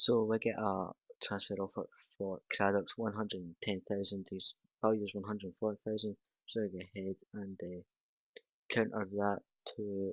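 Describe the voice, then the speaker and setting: This man speaks in a Scottish accent at a fairly low pitch. His intonation is monotone and flat. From Scotland. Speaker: gaming youtuber. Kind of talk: gameplay commentary. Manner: casual, conversational.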